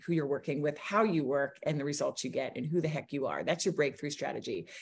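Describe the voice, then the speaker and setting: Somewhat breathy, a woman with an American accent speaks at a fairly quick pace. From US small town. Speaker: business coach. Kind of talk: interview.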